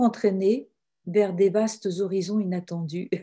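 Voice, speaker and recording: A woman speaks very slowly in a dark, mellow tone that is somewhat breathy. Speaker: religious sister and author. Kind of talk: webinar talk. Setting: online webinar.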